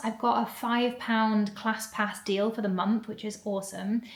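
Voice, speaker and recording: Fairly quick and fairly high-pitched, a woman's voice comes through. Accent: English. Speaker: vlogger. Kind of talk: casual vlog talk to camera. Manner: fast when excited.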